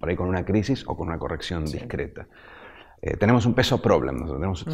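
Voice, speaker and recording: Against a quiet background, the speaker moves at a very fast pace with very wide pitch swings. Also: man. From Argentina. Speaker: economist; guest. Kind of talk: interview. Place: studio.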